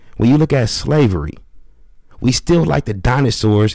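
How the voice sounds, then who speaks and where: Speaking at a moderate pace with an American accent, a man has a dark, mellow tone in a dry sound with no echo and a quiet background. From Los Angeles. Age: 30s. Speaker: podcast host reacting to an interview; reaction streamer. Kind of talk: casual reaction commentary. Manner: animated. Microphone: studio mic.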